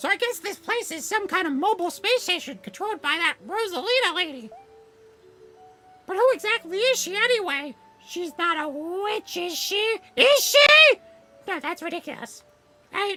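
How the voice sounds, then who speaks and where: A shrill put-on character voice at an extremely high pitch and moderate pace, with faint music in the background. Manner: puzzled, musing.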